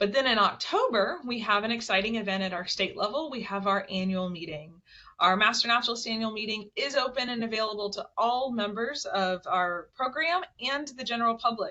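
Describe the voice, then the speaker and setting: The woman's voice sits fairly high, with ordinary pitch variation and a fairly quick pace. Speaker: webinar host for a state naturalist program. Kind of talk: webinar presentation. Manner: fast.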